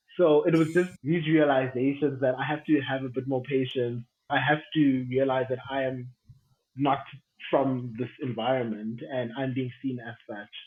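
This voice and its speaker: Someone with a South African accent talks at a moderate pace with fairly even intonation. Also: man, medium pitch for a man. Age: 30s. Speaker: aviation professional. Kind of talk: casual chat.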